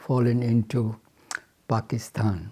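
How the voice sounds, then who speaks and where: Speaking with a Bengali accent at a very slow pace, a man has a medium pitch, a dark, mellow tone and a somewhat breathy sound. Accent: Indian English, Bengali. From Bengal, India. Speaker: retired chemical engineer. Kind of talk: interview answer. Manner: hesitant, reflective.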